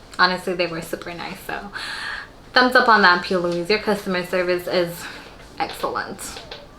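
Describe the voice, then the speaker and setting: A woman's medium-pitched voice at a moderate pace amid noticeable background noise. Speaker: beauty vlogger. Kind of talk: casual chat.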